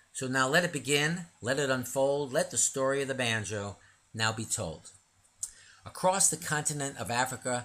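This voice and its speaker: Speaking at a fairly slow pace, a man uses lively intonation and a bright, sharp tone. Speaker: narrator and author reading his own illustrated poem book. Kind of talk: reading aloud a rhyming illustrated poem story. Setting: audio recording of a book read aloud. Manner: measured, rhythmic cadence with sing-song rhymes, formal and didactic.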